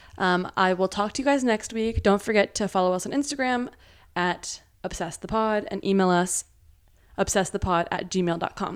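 On a very clean recording with a silent background, a woman speaks at a moderate pace in an unremarkable speaking voice, with a medium pitch and ordinary pitch variation. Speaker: podcast host. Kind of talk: casual family chat.

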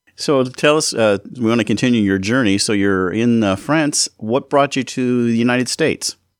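Recorded very cleanly against a silent background with a dry, close sound and no echo, a man with an American accent has a normal speaking voice at medium pitch, speaking at a moderate pace with ordinary pitch variation, hardly any pauses and very even loudness. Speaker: radio host. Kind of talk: radio show. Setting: studio.

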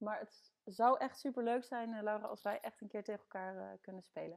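Woman with a normal speaking voice, fairly high pitch, fairly even intonation and moderate pace. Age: 20s. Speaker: sports club support officer. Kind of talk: podcast interview.

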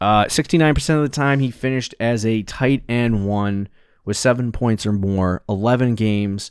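The recording is very clean, with a silent background. A man talks at a moderate pace with a slight Boston accent. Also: medium pitch for a man, ordinary pitch variation. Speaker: fantasy football podcast co-host. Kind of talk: casual chat.

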